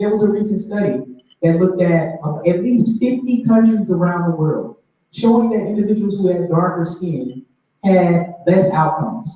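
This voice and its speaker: A man with a Southern US accent speaks at a moderate pace. His pitch is high, with ordinary pitch variation. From US South (Murfreesboro, Tennessee). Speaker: panelist. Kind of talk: panel discussion. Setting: auditorium panel with audience.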